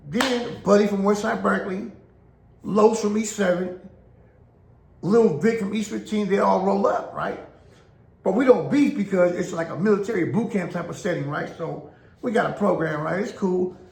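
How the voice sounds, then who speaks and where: A man's animated, high-pitched voice at a moderate pace, with long, frequent pauses and audible room echo. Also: ordinary pitch variation. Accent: American. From Oakland, California. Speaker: former prison inmate storyteller. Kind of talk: casual storytelling monologue. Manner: animated, repetitive filler.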